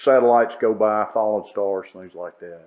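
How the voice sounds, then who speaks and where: Speaking fairly quickly with a Southern US accent, a man keeps a fairly low pitch and fairly even intonation. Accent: Southern American. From northern Alabama. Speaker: retired judge and historian. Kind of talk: podcast interview answer.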